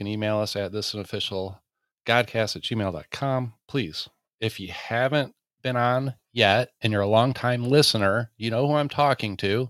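An ordinary speaking voice from a man with an American accent, medium in pitch, fairly even in intonation and moderate in pace, in a very clean recording with a silent background. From Michigan. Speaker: podcast host. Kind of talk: casual chat; prayer.

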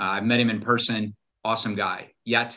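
A man's fairly low-pitched voice with an American accent, bright, sharp tone and fairly quick pace over a quiet background. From US Midwest, southern Illinois. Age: 50s. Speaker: wealth strategist and navy veteran. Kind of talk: interview conversation.

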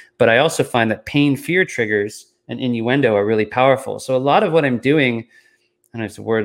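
A man with a normal speaking voice, medium pitch and ordinary pitch variation talks at a fairly quick pace in a very clean recording with a silent background. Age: 40s. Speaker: sales consultant. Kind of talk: interview.

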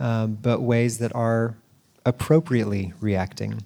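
Male speech at a very slow pace. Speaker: church podcast host and panel moderator. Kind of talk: panel discussion. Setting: church.

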